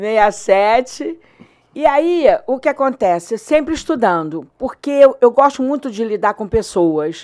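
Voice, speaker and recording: This woman's voice is high in pitch and swings very widely. She speaks at a fairly slow pace. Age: 60s. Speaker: teacher and coach. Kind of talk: interview. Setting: studio.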